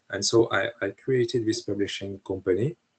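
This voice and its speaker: In a dry, close recording with no echo, a man with a French accent speaks at a fairly slow pace. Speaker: historian and author. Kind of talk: interview. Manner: halting, many hesitations.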